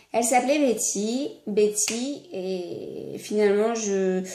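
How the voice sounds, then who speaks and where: A woman's lively intonation comes through with audible room echo. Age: 20s. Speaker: vlogger. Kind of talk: casual chat. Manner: halting, many hesitations.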